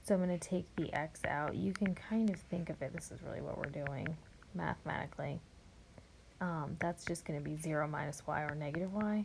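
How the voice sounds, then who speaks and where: A woman speaks at a moderate pace with a very deep, low pitch and vocal fry. Her pitch variation is ordinary. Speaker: math teacher. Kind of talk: tutorial.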